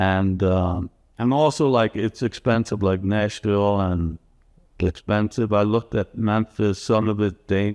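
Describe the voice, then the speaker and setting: A man with an American accent speaks at a moderate pace in a fairly low pitch, his loudness very even and his intonation fairly even, in a dry, close recording with no echo. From New York City (Bronx). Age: 60s. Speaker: homebuyer who relocated. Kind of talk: casual interview. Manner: halting.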